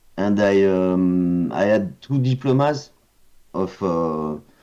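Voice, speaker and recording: Speaking very slowly in a French accent, a man with a fairly low pitch and a dark, mellow tone uses lively intonation. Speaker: video game concept artist. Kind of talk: casual interview chat. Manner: halting, many hesitations.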